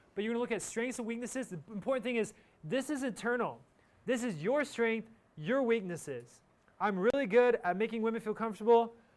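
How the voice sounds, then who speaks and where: An animated male voice at an extremely high pitch, with ordinary pitch variation and a fairly quick pace. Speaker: university instructor. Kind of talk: lecture. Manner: fast.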